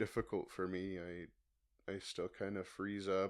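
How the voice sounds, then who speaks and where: A man speaks fairly slowly, and the background stays quiet. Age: 20s. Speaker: podcast host. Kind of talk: solo podcast monologue. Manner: halting, many pauses.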